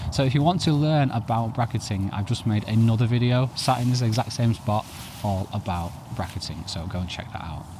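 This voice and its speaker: Noticeable noise sits in the background. Over it, a man's words come fairly quickly. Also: medium pitch for a man, ordinary pitch variation. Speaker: photography youtuber. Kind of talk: tutorial. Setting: outdoors.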